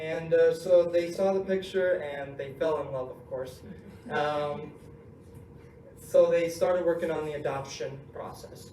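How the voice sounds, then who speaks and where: A man with an American accent speaks in a room with audible echo and noticeable background noise. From US, California. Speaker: inspirational speaker. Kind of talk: speech to student group.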